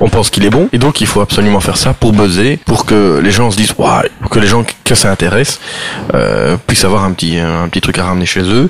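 A man's fairly low voice at a very fast pace, with ordinary pitch variation and noticeable background noise. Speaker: board game publisher. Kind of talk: casual chat.

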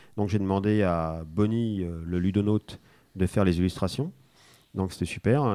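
Pitched very deep and low, a man speaks at a moderate pace with ordinary pitch variation. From France (arrived from Spain age one). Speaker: board game designer. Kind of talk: casual interview.

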